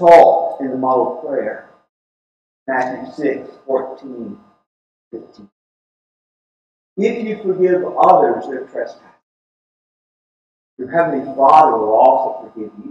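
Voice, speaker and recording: Against light background noise and audible room echo, a man talks at a fairly slow pace with lively intonation and long, frequent pauses. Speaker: preacher. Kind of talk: sermon delivered to a congregation. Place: church.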